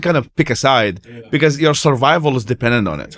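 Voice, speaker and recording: A man with an Arabic accent speaks at a very fast pace. The background is quiet. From Iraq. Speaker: human rights activist; podcast guest. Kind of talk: casual chat. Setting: conference. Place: studio. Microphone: studio mic.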